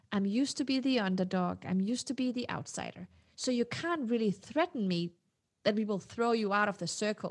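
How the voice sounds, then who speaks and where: A woman's fairly high-pitched voice, lively in intonation and fairly quick in pace, against a quiet background. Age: 40s. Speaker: tech CEO and author. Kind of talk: interview, conversational. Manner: animated, talkative.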